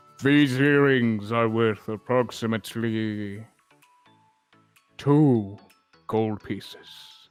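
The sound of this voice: A put-on character voice speaks at a very slow pace with long, frequent pauses while faint music plays in the background. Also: man, medium pitch for a man.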